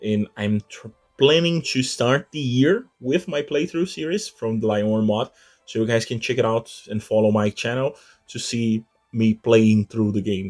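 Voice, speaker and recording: A man with a non-native accent speaks at a moderate pace and medium pitch, with ordinary pitch variation, in a dry, close recording with no echo, very clean, against a silent background. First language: not English. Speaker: gaming YouTuber. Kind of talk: gameplay tutorial commentary. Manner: halting, with repeated words.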